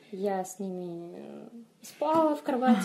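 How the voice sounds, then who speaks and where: A woman talks at a medium pitch with lively intonation. Noticeable background noise runs behind her. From Moldova, Chisinau. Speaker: fantasy author. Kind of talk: interview.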